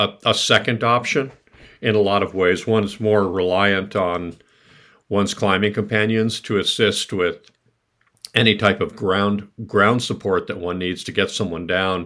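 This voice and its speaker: The tone is bright and sharp, with an American accent, a fairly slow pace, and a very clean recording over a silent background. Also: man. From New York City. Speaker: mountaineer. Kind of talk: interview. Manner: halting, repeats words.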